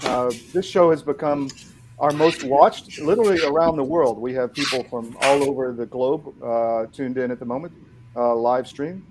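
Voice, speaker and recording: The speaker has a normal speaking voice and a moderate pace. Pitch variation is ordinary. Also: man, medium pitch for a man. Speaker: sponsor ad reader. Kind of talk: sales pitch.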